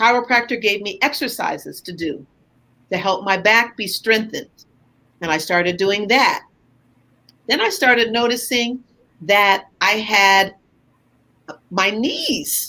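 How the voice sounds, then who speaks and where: Speaking at a fairly slow pace with long, frequent pauses, a woman has a fairly high pitch, ordinary pitch variation and a bright, sharp tone. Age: 60s. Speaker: retired teacher and entrepreneur. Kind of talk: interview testimony.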